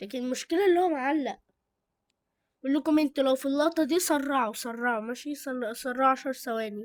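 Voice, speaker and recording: Over a very clean recording with a silent background, a woman with an Egyptian accent talks at a moderate pace in a high voice with ordinary pitch variation. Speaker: YouTuber reviewing channels. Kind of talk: casual chat. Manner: halting; loud.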